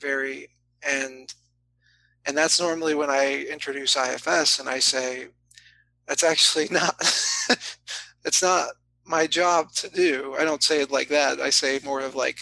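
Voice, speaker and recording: A man with an American accent speaks at a fairly slow pace in a bright, sharp tone and a fairly high pitch, leaving long, frequent pauses. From Florida. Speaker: therapist. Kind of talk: casual chat. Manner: animated.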